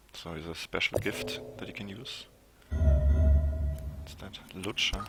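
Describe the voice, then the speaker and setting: Over background music, a man with a very deep, low voice speaks very slowly, his pitch varying normally and his loudness swinging widely. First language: not English. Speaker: video game streamer. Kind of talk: let's play commentary.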